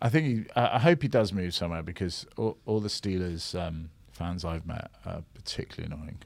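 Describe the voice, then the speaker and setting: A man with a very deep, low voice talks at a fairly quick pace with hardly any pauses and ordinary pitch variation. His loudness shows big swings. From Scotland by birth. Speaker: comedian and podcast co-host. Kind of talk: casual chat.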